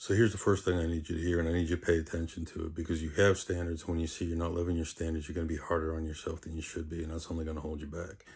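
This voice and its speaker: Somewhat breathy speech comes at a very fast pace with monotone, flat intonation on a very clean recording with a silent background. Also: man. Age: 60s. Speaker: strength coach. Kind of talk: casual talk to camera. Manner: direct, blunt.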